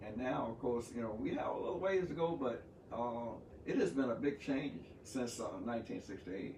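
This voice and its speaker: A man with a medium-pitched voice talks while noticeable background noise carries on. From Texas, USA. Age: 70s. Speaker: pastor, civil rights veteran; actor, playwright. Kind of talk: interview answer.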